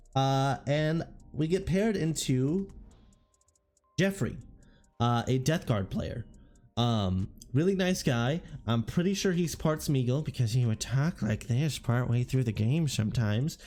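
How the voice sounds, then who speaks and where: With music in the background, the speaker goes at a fairly slow pace, leaving long, frequent pauses. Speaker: tabletop gaming content creator. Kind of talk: casual storytelling. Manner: relaxed; halting, repeats words.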